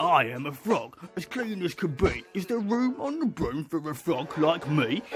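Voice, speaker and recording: Putting on a croaky, high-pitched character voice, a man speaks at a moderate pace over clear background noise. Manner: polite.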